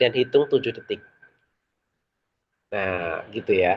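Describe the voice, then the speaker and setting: A man speaks at a fairly slow pace with vocal fry. His pitch swings very widely. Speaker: public speaking trainer. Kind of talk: online training session. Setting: online meeting with chat.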